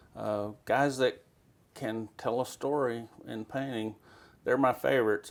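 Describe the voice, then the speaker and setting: A man in a West Texas accent speaks at a fairly slow pace with ordinary pitch variation, recorded very cleanly against a silent background. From Texas Panhandle, Amarillo. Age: 60s. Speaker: western painter. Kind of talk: interview. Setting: artist's studio.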